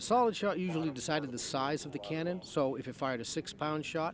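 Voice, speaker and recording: Speaking at a fairly quick pace, a man comes through with a dry sound with no echo over noticeable background noise. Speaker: historical reenactor artilleryman. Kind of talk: interview answer, explanatory demonstration. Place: open country. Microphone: handheld.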